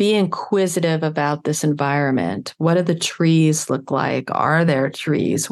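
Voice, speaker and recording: At a fairly slow pace, a woman speaks in a plain, everyday voice, fairly low in pitch with ordinary pitch variation. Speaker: wellness podcaster. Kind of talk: guided meditation. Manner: slow, calm, soothing pacing; gentle, nurturing tone.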